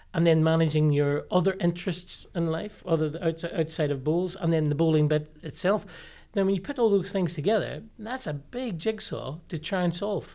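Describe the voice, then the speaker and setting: A voice with a Northern Irish accent comes through on a very clean recording with a silent background. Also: moderate pace. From Northern Ireland, Limavady. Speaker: sports high performance director. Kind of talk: podcast interview. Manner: hesitant, many fillers and repeated words.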